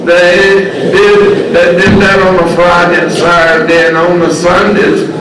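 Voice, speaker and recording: Through noticeable background noise and audible room echo, a high-pitched man with an American accent speaks at a fairly slow pace in a monotone, flat intonation with very even loudness. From southern West Virginia coal fields, Wyoming County. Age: 80s+. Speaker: blues musician and former coal miner. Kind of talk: interview.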